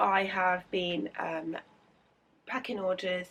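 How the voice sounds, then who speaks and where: A woman with a British accent speaks at a very slow pace in a medium pitch. Her tone is bright and sharp. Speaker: illustrator vlogger. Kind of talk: casual vlog.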